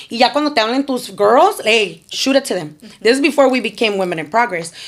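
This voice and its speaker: With noticeable background noise, a woman speaks at a very fast pace, her fairly high pitch swinging very widely. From Chicana, Mexican-American. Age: 30s. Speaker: nonprofit founder, formerly incarcerated. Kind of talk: podcast interview answer. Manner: energetic, upbeat.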